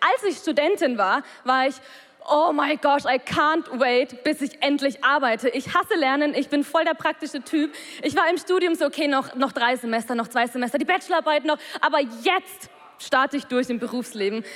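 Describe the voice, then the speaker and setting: A high-pitched woman's voice at a moderate pace, with very even loudness, ordinary pitch variation and noticeable background noise. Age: 20s. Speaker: church member giving a talk. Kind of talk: testimony.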